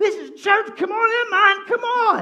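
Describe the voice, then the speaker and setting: A put-on character voice with an English accent. The pitch is extremely high. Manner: dry.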